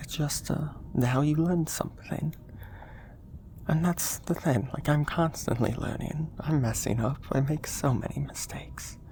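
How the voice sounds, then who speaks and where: A man whispering at a fairly slow pace. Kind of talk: ASMR soft-spoken rambling and affirmations. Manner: soft-spoken.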